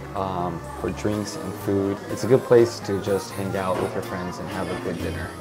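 Clear music sits in the background while a man speaks. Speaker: food vlogger. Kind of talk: casual vlog chat. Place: bar. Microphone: lapel.

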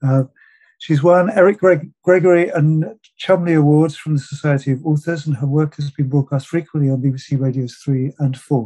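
A man with a dark, mellow, somewhat breathy tone talks at a moderate pace with fairly even intonation over a quiet background. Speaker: festival host. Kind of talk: formal introduction of a speaker. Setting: online video call. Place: home room. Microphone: video call.

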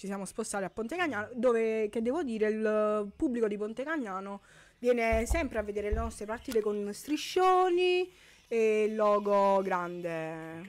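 A woman with a fairly high pitch speaks at a moderate pace, her intonation lively. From Campania, Italy. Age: 20s. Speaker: women's five-a-side footballer and sports agent; guest. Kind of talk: radio interview. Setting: radio studio. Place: studio. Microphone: studio mic.

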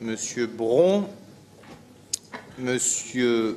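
There is light background noise. A man speaks at a medium pitch with very wide pitch swings. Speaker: mayor chairing city council. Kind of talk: council meeting chairing. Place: hall. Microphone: podium.

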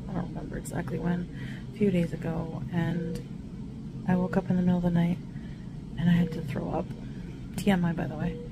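Over noticeable background noise, a woman speaks at a fairly quick pace in a tired tone. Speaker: vlogger. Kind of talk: casual vlog chat. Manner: weak, tired voice of a sick person. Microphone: phone near.

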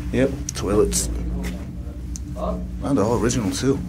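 A man is speaking. Music plays in the background. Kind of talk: casual vlog chat. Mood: curious, slightly awed. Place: tunnel cave. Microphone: phone near.

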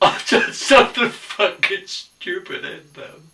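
A man speaks in a raised, projected voice. The background is quiet. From Australia. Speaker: actor. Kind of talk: acting scenes from film and TV. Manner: distraught, halting. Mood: distressed, near tears. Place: home room.

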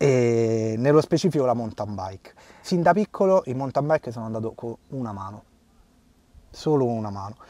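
At a moderate pace, a man with a medium pitch and a dark, mellow tone speaks with lively intonation, big swings in loudness, and long, frequent pauses. The recording is very clean and dry, close with no echo and a silent background. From Rome, Italy. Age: 30s. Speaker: man with a limb difference. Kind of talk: interview conversation. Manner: halting.

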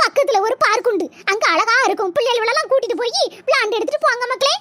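A woman's cartoonish character voice, extremely high-pitched, at a moderate pace. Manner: affectionate, calls everyone "makkale".

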